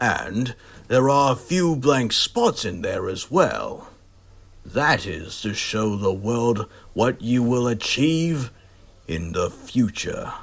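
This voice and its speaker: Putting on a character voice, a man speaks at a medium pitch and a very slow pace, with a warm tone and lively intonation. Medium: audio drama. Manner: formal, warm.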